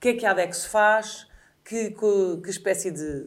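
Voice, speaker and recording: A woman with a European Portuguese accent speaks at a fairly slow pace with ordinary pitch variation. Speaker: podcast host. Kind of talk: interview.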